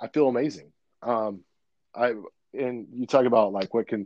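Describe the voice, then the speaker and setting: A man speaks at a moderate pace and medium pitch with fairly even intonation. The sound is dry and close, with no echo. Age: 30s. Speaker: ministry founder and nutrition coach. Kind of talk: casual chat.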